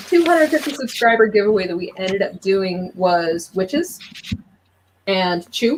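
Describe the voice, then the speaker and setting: This woman speaks at a medium pitch with lively intonation. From Ohio. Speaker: comic book YouTuber. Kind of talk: casual interview chat. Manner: fast.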